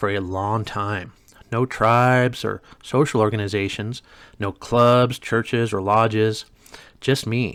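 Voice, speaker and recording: Over a silent background in a very clean recording, a man talks fairly slowly in a monotone, flat delivery. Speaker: vlogger documenting social anxiety. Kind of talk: scripted personal reflection to camera. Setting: filming to camera. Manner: reading from a script.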